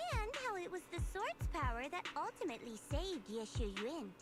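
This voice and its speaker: A female-sounding cartoonish character voice at an extremely high pitch speaks at a moderate pace. Loud music plays in the background. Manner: earnest, sincere.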